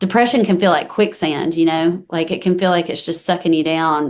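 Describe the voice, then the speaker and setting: In a Southern US accent, a woman speaks at a fairly low pitch and moderate pace with fairly even intonation over a quiet background. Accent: Southern US country. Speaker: country singer-songwriter. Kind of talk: interview. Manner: casual, with many fillers.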